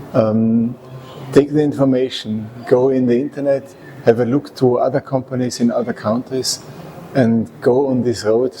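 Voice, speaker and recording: A man with an Austrian accent at a medium pitch and moderate pace, fairly even intonation, noticeable background noise. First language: German. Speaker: resource efficiency consultant and engineer. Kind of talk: interview. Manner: halting.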